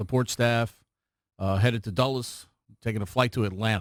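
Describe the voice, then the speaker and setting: A man with an ordinary speaking voice, moderate pace and ordinary pitch variation, in a very clean recording with a silent background. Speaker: radio sports play-by-play announcer. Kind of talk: radio sports interview answer.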